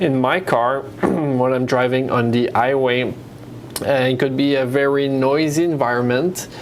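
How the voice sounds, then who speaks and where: Over noticeable background noise and audible room echo, the speaker talks at a fairly slow pace with very even loudness and fairly even intonation. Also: man, medium pitch for a man. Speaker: software presenter. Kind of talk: tutorial. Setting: web conference. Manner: hesitant, many fillers.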